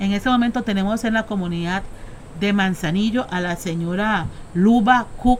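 Speaking at a moderate pace, a woman uses an ordinary speaking voice at medium pitch with ordinary pitch variation. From Costa Rica, Caribbean coast (Limón). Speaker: Afro-descendant community activist. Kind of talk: interview. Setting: on location in Punta Uva, Limón.

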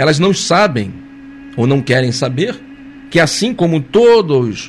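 A man speaks at a fairly slow pace with very wide pitch swings. Music plays in the background, and the room echo is audible. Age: 50s. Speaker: spiritist study leader. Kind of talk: lecture. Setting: live stream.

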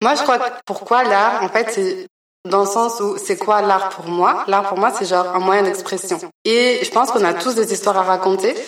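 An ordinary speaking voice, delivered at a moderate pace with fairly even intonation. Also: woman, medium pitch for a woman. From Belgium, raised partly in Congo. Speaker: artist. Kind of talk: interview. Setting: art gallery.

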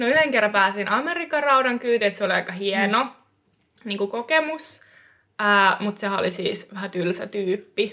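A woman speaks at medium pitch and a moderate pace. Her tone is bright and sharp, with lively intonation. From eastern Finland. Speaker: experienced hitchhiker. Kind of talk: casual chat.

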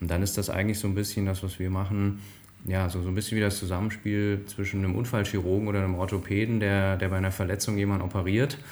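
In a room with audible echo and noticeable background noise, a man speaks very fast in a fairly low, flat monotone at very even loudness. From northern Hesse, Germany (Bad Hersfeld). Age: 40s. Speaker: management consultant. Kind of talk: interview conversation. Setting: office with interviewer in the same room.

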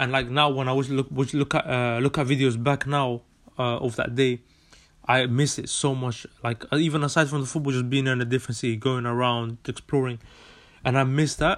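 Speaking fairly quickly in a London accent, a man has a medium-pitched voice. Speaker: podcast host, student. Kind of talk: casual monologue. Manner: animated.

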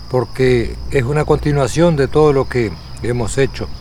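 A man with a Uruguayan accent talks at a fairly slow pace with ordinary pitch variation. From Uruguay, rural Tacuarembó. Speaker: rural researcher and interviewer. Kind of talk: documentary interview.

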